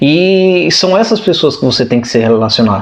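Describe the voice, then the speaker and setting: With very wide pitch swings, a man talks at a fairly quick pace over noticeable background noise. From Brazil. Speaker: vlogger. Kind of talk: casual chat.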